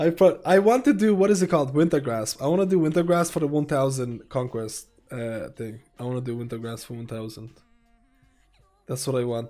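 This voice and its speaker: Music plays in the background as the speaker talks at a fairly quick pace. The intonation is lively, and the loudness swings widely. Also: man. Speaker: video game streamer. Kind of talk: casual live-stream chat.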